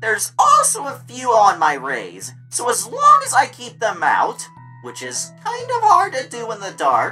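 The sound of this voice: With faint music in the background, a woman does a put-on character voice at a fairly high pitch, using a bright, sharp tone, very wide pitch swings and a fairly slow pace.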